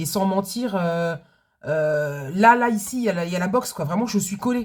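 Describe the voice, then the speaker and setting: Her voice sits at a medium pitch and sounds somewhat breathy. The woman's pitch varies in an ordinary way. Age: 40s. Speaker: budgeting vlogger, food truck owner. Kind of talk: casual vlog chat. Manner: hesitant, many fillers.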